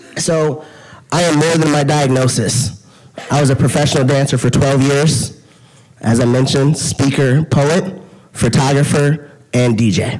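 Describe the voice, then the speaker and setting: A man speaks at a moderate pace and fairly high pitch, his loudness very even. Noticeable background noise and audible room echo surround him. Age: 30s. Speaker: dietitian and patient speaker. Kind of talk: conference talk. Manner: animated.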